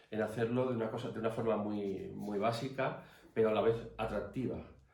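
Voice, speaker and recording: A man speaks at a moderate pace and medium pitch, with ordinary pitch variation. Noticeable background noise and audible room echo fill the recording. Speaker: artist and academy member giving a talk. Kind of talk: formal talk. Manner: hesitant.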